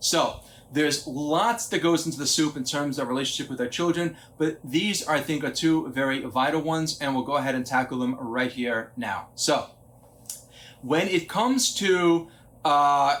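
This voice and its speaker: This is an ordinary speaking voice at a moderate pace. It shows ordinary pitch variation. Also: man, fairly high pitch for a man. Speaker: psychologist and parenting speaker. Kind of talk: lecture. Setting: conference talk.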